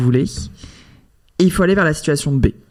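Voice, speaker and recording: Her pitch is very deep and low for a woman. Pitch variation is ordinary. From northern France, Lille area. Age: 30s. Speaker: HR executive. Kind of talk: podcast interview. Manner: hesitant, many fillers.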